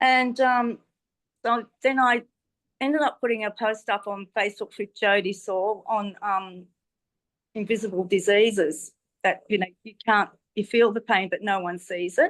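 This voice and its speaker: With an Australian accent, a woman talks at a moderate pace and medium pitch, using ordinary pitch variation and long, frequent pauses. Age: 60s. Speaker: testimonial speaker. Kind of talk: testimony. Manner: hesitant, many fillers.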